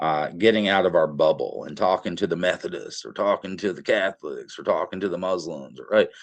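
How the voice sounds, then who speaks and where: A man speaks in an Appalachian accent with hardly any pauses. His loudness swings widely. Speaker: professor. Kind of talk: interview. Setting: podcast. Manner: many filler words (uh).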